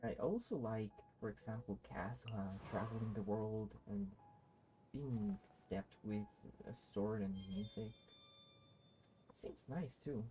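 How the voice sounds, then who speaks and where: Fairly slow speech with long, frequent pauses and ordinary pitch variation, music playing in the background. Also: woman, very deep, low pitch for a woman. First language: not English. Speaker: video game streamer. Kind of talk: casual gameplay commentary. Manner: halting.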